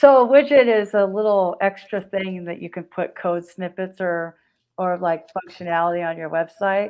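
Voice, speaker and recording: A woman speaks in an unremarkable speaking voice at medium pitch and a moderate pace. Her loudness swings widely while her pitch varies an ordinary amount. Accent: American. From Pacific Grove, California. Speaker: marketing entrepreneur and author. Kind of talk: interview. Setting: live stream.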